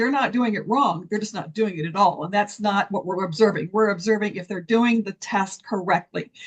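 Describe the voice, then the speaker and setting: A woman speaks at a medium pitch with a somewhat breathy quality. Her pitch rises and falls in an ordinary way. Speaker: concrete testing program presenter. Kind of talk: technical presentation. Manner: fast.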